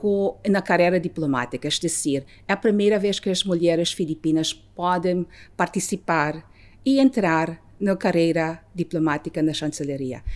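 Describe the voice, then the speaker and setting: Over a silent background in a very clean recording, a woman with a fairly low pitch talks at a fairly slow pace with lively intonation. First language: Filipino/English; Portuguese learned in 5 years (speaking Portuguese). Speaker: ambassador. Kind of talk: interview. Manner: halting, with hesitations.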